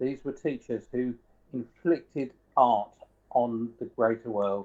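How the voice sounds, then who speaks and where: The speaker is a man. He has a southern English accent. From southern England (Sussex). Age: 60s. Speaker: professional guitarist and music educator. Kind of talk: interview.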